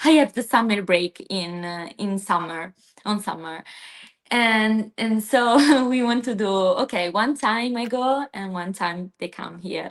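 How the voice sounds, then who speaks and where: A woman speaks with an Italian accent at a fairly high pitch. Her pace is fairly slow, and the background is quiet. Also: ordinary pitch variation. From southern Italy (Basilicata). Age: 20s. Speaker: PhD student. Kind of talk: interview. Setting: live stream video call. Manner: halting.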